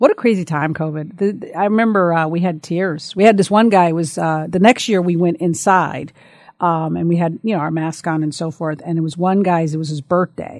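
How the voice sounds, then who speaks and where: A woman with a normal speaking voice talks at a fairly quick pace and fairly low pitch with ordinary pitch variation, in a very clean recording with a silent background. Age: 50s. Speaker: senior living specialist. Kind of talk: casual chat.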